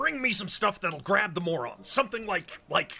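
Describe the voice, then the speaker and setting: Putting on a character voice, a man projects a raised, high-pitched voice at a moderate pace. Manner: gruff, dismissive.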